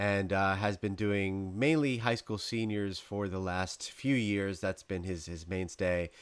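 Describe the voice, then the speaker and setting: In a very clean recording with a silent background, a man with a slight New York accent and a fairly low pitch talks at a fairly slow pace with ordinary pitch variation and hardly any pauses. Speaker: podcast host. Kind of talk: casual interview chat.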